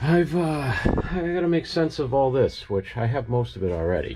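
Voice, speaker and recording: Noticeable background noise runs under a man with a New England accent. He talks at a fairly quick pace with very wide pitch swings. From New England, US. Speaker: DIY car builder vlogger. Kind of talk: casual vlog narration. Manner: casual, thinking aloud.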